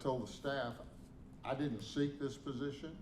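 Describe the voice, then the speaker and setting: A man with a Southern US accent at a moderate pace, fairly even intonation, audible room echo and noticeable background noise. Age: 70s. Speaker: interim university president. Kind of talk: press conference statement.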